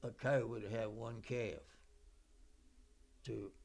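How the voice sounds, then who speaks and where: Vocal fry runs through the speech, which moves at a very slow pace. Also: man. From Virginia. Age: 80s+. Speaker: oral history interviewee; interviewee. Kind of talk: oral history interview. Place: home room.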